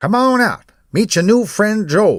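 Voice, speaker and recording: In a put-on character voice, a man speaks high and fairly slowly on a very clean recording with a silent background. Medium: read story. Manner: calm, unhurried, quietly insistent.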